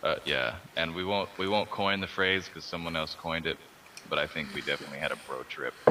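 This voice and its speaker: Noticeable background noise accompanies a man with a very deep, low voice. His pitch variation is ordinary. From Austin, Texas. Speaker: artist. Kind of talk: casual chat. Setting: Skype group call.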